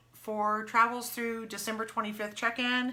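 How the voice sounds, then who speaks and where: Fairly quick, fairly high female speech amid noticeable background noise. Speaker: travel agent. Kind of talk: casual live stream Q&A. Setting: live video stream. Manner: fast.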